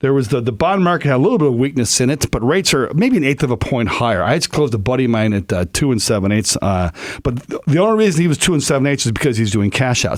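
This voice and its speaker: At a very fast pace, the speaker uses very wide pitch swings and talks with an American accent. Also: man. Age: 50s. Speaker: radio host. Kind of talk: radio talk show.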